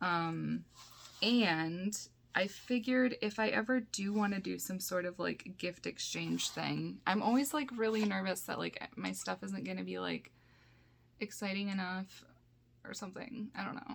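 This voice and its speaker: Speaking at a fairly slow pace, a woman talks with a Michigan accent. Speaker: YouTuber, VHS collector. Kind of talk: casual unboxing haul video. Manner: rambling, filler-heavy with frequent um and like.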